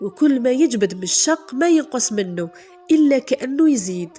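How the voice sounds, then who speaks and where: Over noticeable background noise, a woman speaks with lively intonation. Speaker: storyteller. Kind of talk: folk tale storytelling.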